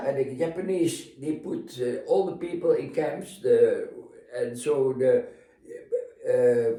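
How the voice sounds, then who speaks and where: A man speaks at a very slow pace. He has a Dutch accent. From Netherlands. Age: 80s+. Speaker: retired navy captain. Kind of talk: interview answer.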